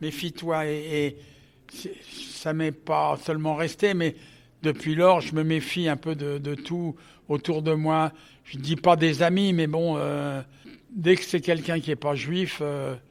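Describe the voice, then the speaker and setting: At a very slow pace, a man speaks at a fairly high pitch with monotone, flat intonation. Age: 80s+. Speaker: Holocaust survivor, association co-founder. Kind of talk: interview testimony. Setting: forum event. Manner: halting.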